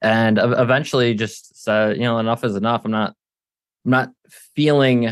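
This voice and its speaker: With a plain, everyday voice, a man talks at a medium pitch and with fairly even intonation. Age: 30s. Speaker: military veteran and marketing agency owner. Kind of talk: interview.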